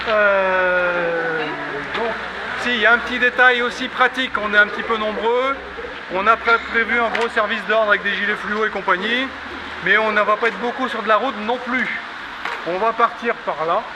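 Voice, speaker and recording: Over noticeable background noise, a man with a high pitch speaks in a raised, projected voice at a moderate pace, his intonation fairly even and his pauses long and frequent. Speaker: walk leader and traditional singing organizer. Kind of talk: outdoor group briefing. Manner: casual, conversational; not very loud.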